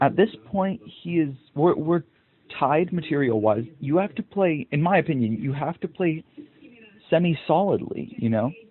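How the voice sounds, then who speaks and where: Using an ordinary speaking voice, a man speaks at a moderate pace with a fairly high pitch and lively intonation. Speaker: chess content creator. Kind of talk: casual game commentary. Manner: casual, self-deprecating chatter.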